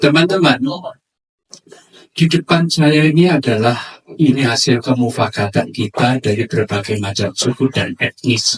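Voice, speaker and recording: A man talks at a medium pitch and a moderate pace, somewhat breathy, with lively intonation. The sound is dry and close, with no echo. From Madura / Surabaya, East Java. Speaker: lecturer / speaker. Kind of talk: lecture to a community forum.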